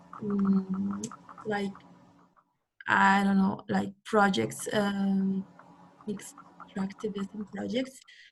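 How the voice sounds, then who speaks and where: A woman's somewhat breathy voice, medium in pitch, monotone and flat, very slow, with long, frequent pauses. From Mexico. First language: Spanish. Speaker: webinar participant, intern. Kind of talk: online group discussion. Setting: video call. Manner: halting, many fillers.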